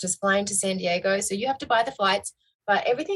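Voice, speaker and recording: Recorded dry and close with no echo, a woman speaks at a medium pitch with ordinary pitch variation. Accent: Australian. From Australia. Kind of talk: interview answer.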